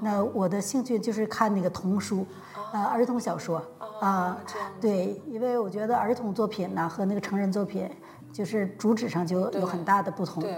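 A woman talks at a moderate pace in a medium pitch with fairly even intonation. Noticeable background noise runs behind her. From Changchun, northeast China. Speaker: university Chinese professor. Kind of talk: casual interview.

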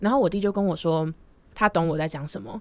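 Words tumble out very fast, the pitch varying in an ordinary way. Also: woman. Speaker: podcast co-host, university student. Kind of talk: casual chat.

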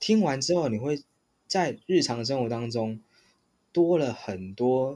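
This man has an ordinary speaking voice at a medium pitch, with lively intonation. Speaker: podcast host. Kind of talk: casual chat.

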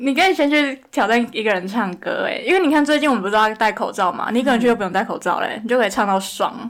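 A woman races along at a very fast pace, her intonation lively, with noticeable background noise behind her. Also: fairly high pitch for a woman, hardly any pauses. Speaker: podcast co-host. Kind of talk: casual chat.

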